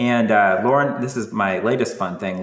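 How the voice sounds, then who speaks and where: Man with a General American accent at a fairly quick pace amid noticeable background noise. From US West Coast, San Francisco Bay Area. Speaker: professor. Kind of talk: casual introductions.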